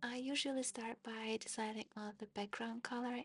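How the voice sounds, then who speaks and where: A woman with a non-native accent speaks at a moderate pace with ordinary pitch variation. Her voice is fairly high and somewhat breathy. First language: not English. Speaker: digital illustrator. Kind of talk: tutorial narration.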